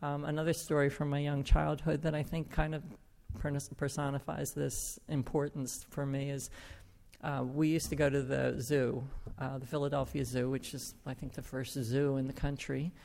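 Her voice is very deep and low, with a dark, mellow tone. This woman speaks in monotone, flat intonation. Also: moderate pace. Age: 70s. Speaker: recovery group member telling their story. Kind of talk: testimony. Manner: halting.

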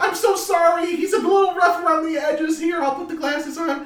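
A put-on character voice, squeaky and extremely high-pitched, at a fairly quick pace with slight echo. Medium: actual play. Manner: blunt yet warm.

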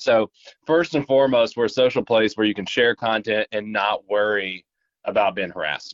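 Speaking at a moderate pace with an Appalachian accent, a man uses a medium pitch and ordinary pitch variation. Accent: Appalachian Southern US. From Appalachia, eastern Kentucky. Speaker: social media app representative. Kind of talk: casual interview. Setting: phone call.

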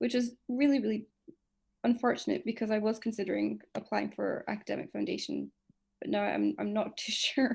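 A woman with an Edinburgh accent talks at a fairly quick pace. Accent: Scottish (Edinburgh). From Scotland, Edinburgh. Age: 20s. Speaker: medical student. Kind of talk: casual interview.

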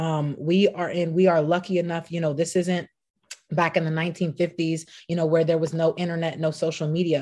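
A woman speaks at a fairly quick pace with a West Coast accent, her fairly low voice dark and mellow in tone. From Los Angeles. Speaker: entrepreneur. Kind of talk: interview. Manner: animated.

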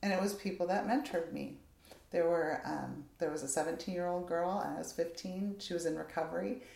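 The voice has a dark, mellow tone with vocal fry. It moves at a moderate pace with ordinary pitch variation. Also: woman, fairly low pitch for a woman. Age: 50s. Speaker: counseling nonprofit executive director. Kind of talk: interview.

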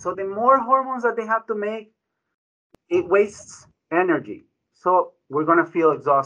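In a raised, projected voice with a bright, sharp tone, a man speaks at a high pitch, leaving long, frequent pauses. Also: lively intonation, moderate pace. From Ecuador. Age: 40s. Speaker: physician, internal medicine director. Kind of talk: radio interview. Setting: studio.

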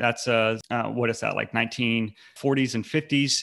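A man with an American accent speaks at a medium pitch and a moderate pace. His tone is bright and sharp, his intonation monotone and flat. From North Carolina. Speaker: anti-fascist community organizer. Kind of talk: podcast interview.

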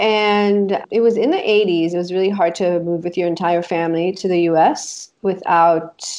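A woman speaks with an Israeli accent. Her pitch is fairly low and her intonation fairly even. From Israel, moved to the US as a child. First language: Hebrew. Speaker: life coach. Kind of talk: casual interview.

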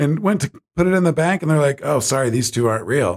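Talking at a fairly quick pace with lively intonation, a man with an American accent is heard in a dry, close sound with no echo. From Ohio and Florida, US. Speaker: podcast host. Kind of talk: casual chat.

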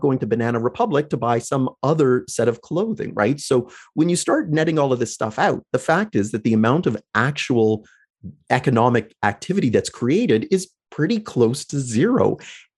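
An ordinary speaking voice from a man with a Canadian accent, fairly high pitch and lively intonation, at a fairly quick pace with very even loudness, over a quiet background. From Canada, London, Ontario. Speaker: economics lecturer. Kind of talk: interview.

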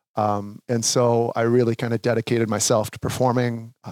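A man with an Upper Midwest accent speaks at medium pitch in a monotone, flat intonation. The sound is dry and close with no echo, in a very clean recording over a silent background. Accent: Upper Midwest American. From Minnesota (Sauk Rapids). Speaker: professional drummer. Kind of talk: casual interview. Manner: halting, many fillers.

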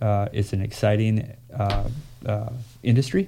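Somewhat breathy and dark, mellow in tone, the voice moves at a fairly slow pace with an American accent. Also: man. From southern Minnesota, rural small town. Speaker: airport executive director. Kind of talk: casual interview. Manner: halting, many fillers.

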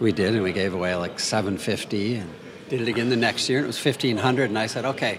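The speaker moves at a fairly quick pace with ordinary pitch variation. Noticeable background noise is present. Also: man. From US Midwest, southwestern Minnesota. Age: 60s. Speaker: composer and novelist. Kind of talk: casual interview conversation. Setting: over drinks on location.

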